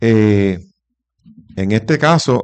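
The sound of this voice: A man's fairly low, clear, smooth voice with a slightly mellow tone, lively intonation and a very slow pace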